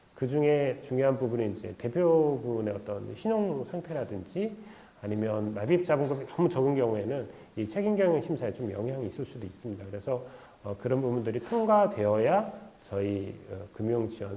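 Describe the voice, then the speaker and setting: Pitched at a medium level, a man's dark, mellow voice carries lively intonation. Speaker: credit guarantee fund staff presenter. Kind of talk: online info session presentation. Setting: online video stream. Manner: fast; many filler sounds.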